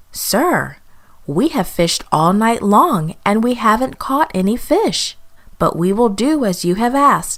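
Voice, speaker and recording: A female-sounding, put-on character voice sits fairly high for a woman. The delivery moves at a fairly slow pace. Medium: read story.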